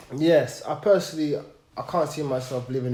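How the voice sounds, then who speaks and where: A man's voice, with ordinary pitch variation, carries audible room echo alongside noticeable background noise. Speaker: podcast guest. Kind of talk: personal testimony. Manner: halting, with repeated sounds.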